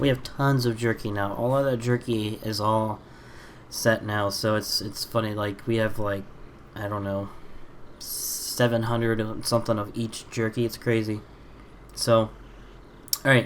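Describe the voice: A man's fairly low voice at a fairly slow pace, with little pitch movement and long, frequent pauses.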